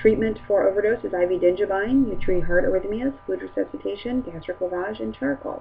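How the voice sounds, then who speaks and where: Music plays in the background as a woman at medium pitch talks at a fairly quick pace with hardly any pauses. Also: lively intonation. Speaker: nurse giving an educational presentation. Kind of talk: lecture. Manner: fast.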